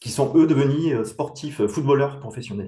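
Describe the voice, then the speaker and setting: A man's medium-pitched, somewhat breathy voice with a dark, mellow tone. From southwest France (Montauban, Tarn-et-Garonne). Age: 50s. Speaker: professional basketball referee. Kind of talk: interview. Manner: hesitant, many fillers.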